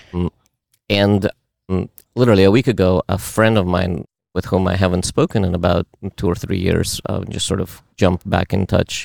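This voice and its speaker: A man with a Russian accent and a very deep, low pitch, at a moderate pace with long, frequent pauses and fairly even intonation, dry and close with no echo on a very clean recording against a silent background. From Uzbekistan. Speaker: meetup participant. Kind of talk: casual chat.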